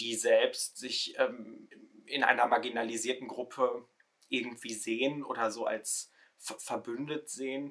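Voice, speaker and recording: Speaking at a fairly slow pace, this man has a medium pitch. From Ruhr area, Germany. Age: 20s. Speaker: theology student, social media creator. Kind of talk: casual discussion podcast.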